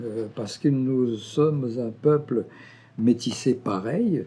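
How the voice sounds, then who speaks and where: On a very clean recording with a silent background, a man speaks very slowly in a somewhat breathy voice. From Brazil. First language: Portuguese (speaking French). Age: 70s. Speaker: historian. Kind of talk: interview testimony. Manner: halting, many hesitations.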